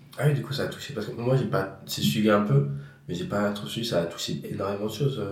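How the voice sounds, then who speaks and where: A man speaks at a very fast pace with very wide pitch swings. Music plays in the background, and audible room echo is present. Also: fairly low pitch for a man. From France, Yonne. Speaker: podcast host and comedian. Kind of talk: casual chat. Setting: at guest's home.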